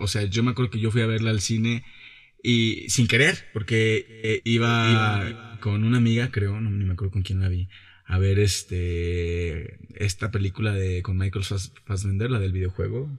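Somewhat breathy, a man with a fairly low pitch speaks at a moderate pace. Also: fairly even intonation. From Mexico, Jalisco. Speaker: actor. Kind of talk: interview. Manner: casual, colloquial.

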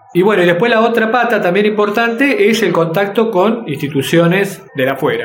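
With a Rioplatense accent, a man talks at a moderate pace with ordinary pitch variation over noticeable background noise. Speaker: workshop teacher. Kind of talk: interview.

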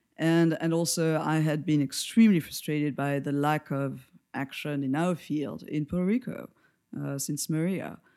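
Over a very clean recording with a silent background, a woman speaks at a moderate pace in a very deep, low voice with a dark, mellow tone and ordinary pitch variation. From France. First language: French. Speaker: lighting designer and educator. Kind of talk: interview.

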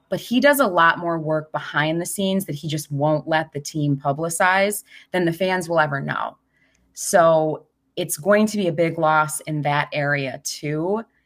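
In a very clean recording with a silent background, a woman with a normal speaking voice talks at a fairly low pitch, moderate pace and ordinary pitch variation. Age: 30s. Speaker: hockey reporter and podcaster. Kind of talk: casual chat.

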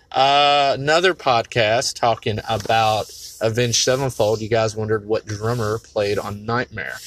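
Moderate pace and an ordinary speaking voice from a man, medium in pitch with ordinary pitch variation. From North Carolina. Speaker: caller leaving voice message. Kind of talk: recorded voice message.

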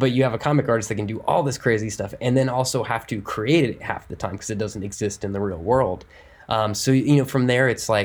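Using a plain, everyday voice, a man talks at a fairly quick pace with fairly even intonation. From Ohio, US Midwest. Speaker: comic book and video game writer. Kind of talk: interview.

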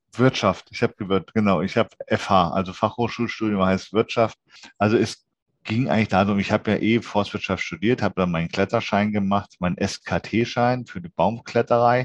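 A man with a plain, everyday voice speaks at a moderate pace and a fairly low pitch, his intonation fairly even, the sound dry and close with no echo. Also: quiet background. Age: 40s. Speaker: occupational safety inspector for tree climbing. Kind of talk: interview.

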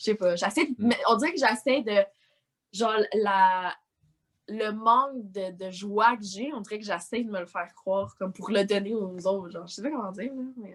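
Someone with a Quebec accent speaks at a moderate pace. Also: woman, medium pitch for a woman, ordinary pitch variation, big swings in loudness. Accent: Québécois French. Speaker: social media influencer. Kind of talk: casual chat.

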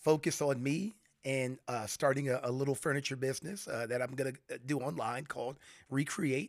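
An unremarkable speaking voice from a man with an American accent, medium in pitch with ordinary variation, at a moderate pace on a very clean recording with a silent background. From US South, Florida (St. Petersburg/Tampa Bay). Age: 40s. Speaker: retired Air Force veteran and furniture maker. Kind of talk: casual interview. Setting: in a home, face to face.

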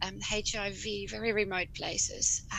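A woman speaks with a Dutch accent, and audible room echo surrounds her voice. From Netherlands. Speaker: rural GP and medical educator. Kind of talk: casual interview.

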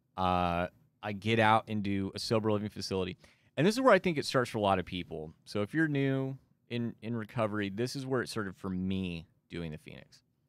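With an American accent, a man in an ordinary speaking voice moves at a fairly quick pace, showing ordinary pitch variation and big swings in loudness. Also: fairly low pitch for a man, very clean recording, silent background. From Texas Panhandle, Amarillo. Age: 30s. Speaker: recovery podcaster and volunteer. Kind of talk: testimony. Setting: studio.

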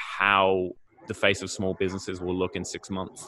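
The voice has a bright, sharp tone. It moves at a fairly quick pace. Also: man. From Australia (Melbourne), born in UK. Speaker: English teacher and podcaster. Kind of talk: casual interview.

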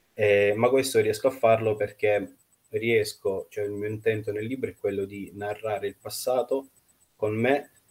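Here a man talks at a moderate pace and a medium pitch, sounding somewhat breathy. His intonation stays fairly even. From Russia, Nizhny Novgorod, then Italy. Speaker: novelist. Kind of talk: interview.

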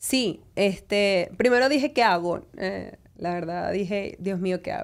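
A woman speaks at a medium pitch with ordinary pitch variation, in an unremarkable speaking voice. The recording is very clean, with a silent background. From Venezuela. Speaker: lawyer. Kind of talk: interview.

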